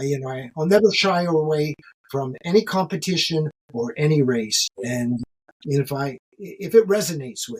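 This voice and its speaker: In a plain, everyday voice, a man at a fairly high pitch talks at a moderate pace with lively intonation and big swings in loudness. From Canada, Ontario. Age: 60s. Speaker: ultramarathon runner. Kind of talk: podcast interview.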